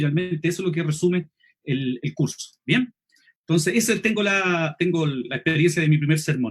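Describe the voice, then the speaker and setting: With a Chilean accent, a man speaks at a fairly high pitch and ordinary pitch variation. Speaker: lay preacher and homiletics teacher. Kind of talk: online seminar lecture. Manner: fast; clipped, drops sounds.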